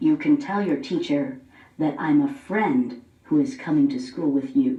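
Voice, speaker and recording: A put-on character voice, gruff and growling, sits at a middle pitch with very wide pitch swings. The pace is moderate. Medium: read story. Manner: gruff, growly.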